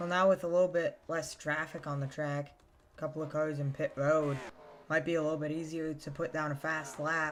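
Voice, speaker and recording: Soft-spoken delivery at a fairly quick pace. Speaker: sim racing commentator. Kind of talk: live commentary. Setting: live stream.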